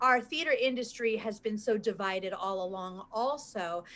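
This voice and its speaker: In a New York accent, a woman speaks at a moderate pace in an animated tone with ordinary pitch variation. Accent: New York American. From US. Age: 40s. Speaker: performance coach and author. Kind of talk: casual interview chat. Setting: livestream video call. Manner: animated, effusive.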